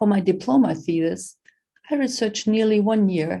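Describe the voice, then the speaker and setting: A woman's somewhat breathy voice with a dark, mellow tone and ordinary pitch variation, at a moderate pace with a German accent. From Germany. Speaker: professor. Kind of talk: lecture.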